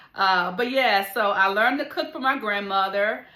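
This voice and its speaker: In a room with audible echo, a woman with a strong Southern US accent talks in a fairly high pitch with a bright, sharp tone. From US South, Alabama. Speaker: cook and food channel host. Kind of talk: casual chat. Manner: casual, halting with fillers.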